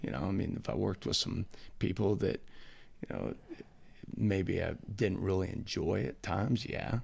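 With an American accent, a man with a fairly low voice uses lively intonation and vocal fry, leaving long, frequent pauses. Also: moderate pace. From Nebraska, US Midwest. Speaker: college football coach. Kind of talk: casual interview. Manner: energetic.

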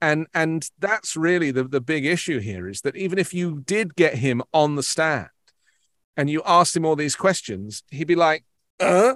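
In a British accent, a man with a fairly high voice talks fairly slowly with lively intonation in a dry, close sound with no echo. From England. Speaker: news broadcaster. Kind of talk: interview discussion of news.

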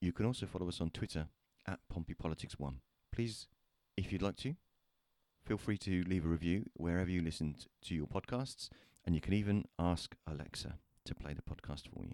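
Long, frequent pauses run through this delivery, which has ordinary pitch variation. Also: man, very deep, low pitch for a man. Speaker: podcast co-host. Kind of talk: casual chat.

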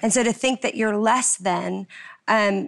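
With an unremarkable speaking voice, a woman keeps a moderate pace and medium pitch, and her pitch varies in an ordinary way. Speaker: singer. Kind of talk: panel conversation.

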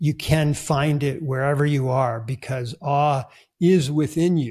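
Over a very clean recording with a silent background, a man with a fairly high pitch and a somewhat breathy voice speaks at a fairly slow pace with fairly even intonation. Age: 60s. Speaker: author. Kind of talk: interview.

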